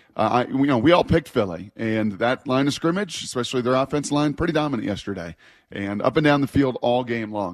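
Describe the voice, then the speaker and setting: The man talks at a fairly quick pace over a quiet background. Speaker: sports radio host. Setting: radio studio. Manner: relaxed, emphatic contrarian, flatly blunt with repeated 'nah'.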